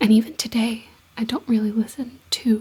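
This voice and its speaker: Soft-spoken and whispering, a woman speaks at a fairly slow pace over noticeable background noise. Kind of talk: ASMR whispered ramble. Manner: soft-spoken, whispered.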